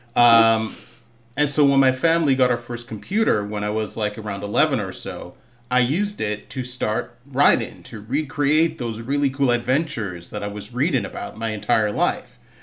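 Here a man with an American accent has an unremarkable speaking voice at medium pitch. He keeps a moderate pace with ordinary pitch variation. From Boston (Roxbury), with Barbados childhood. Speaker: TV writer. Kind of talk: casual interview chat.

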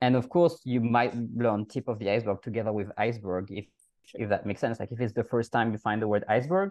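A man with a French accent at a very fast pace, dry and close with no echo. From France. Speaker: language coach. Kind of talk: casual interview.

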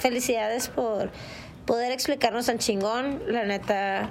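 Over noticeable background noise and audible room echo, a woman with a high voice talks at a fairly slow pace with ordinary pitch variation. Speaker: podcast co-host. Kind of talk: casual chat.

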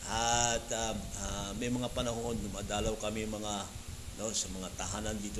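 Moderate-paced, fairly low male speech in a flat monotone, with audible room echo and noticeable background noise. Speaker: pastor. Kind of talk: sermon. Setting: church service.

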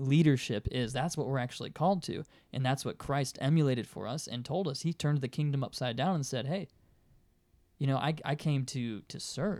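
A man talks at a fairly quick pace, his voice fairly high in pitch. He has a plain, everyday voice. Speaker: podcast co-host. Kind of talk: casual discussion of scripture.

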